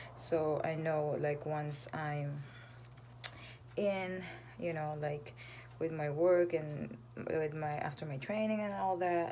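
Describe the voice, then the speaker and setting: Soft-spoken and very deep, low in pitch, a woman talks at a very slow pace with long, frequent pauses and audible room echo. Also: ordinary pitch variation. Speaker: vlogger and singer. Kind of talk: casual live stream chat. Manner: hesitant, many fillers.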